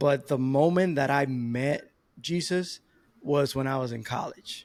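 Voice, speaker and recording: Speaking with a Spanish accent, a man uses a fairly high pitch and ordinary pitch variation. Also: fairly slow pace. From Dominican Republic. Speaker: podcast guest, new father. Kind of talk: casual interview.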